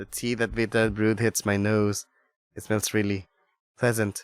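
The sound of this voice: Quiet surrounds the voice. It reads in an unforced way.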